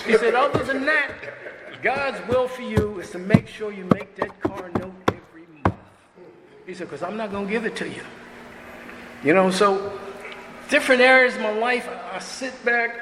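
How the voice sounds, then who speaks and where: Projecting loudly, a man speaks in a high voice at a moderate pace with ordinary pitch variation and big swings in loudness. Long pauses come often, and background noise is noticeable. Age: 70s. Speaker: speaker at a recovery meeting. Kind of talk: testimony. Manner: casual, conversational.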